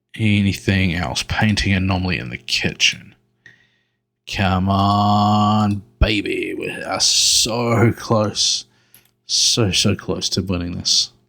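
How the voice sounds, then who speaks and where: Music plays behind a man speaking at a very slow pace. His pitch is fairly low, with ordinary variation. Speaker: gaming youtuber. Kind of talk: let's play commentary. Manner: whispering.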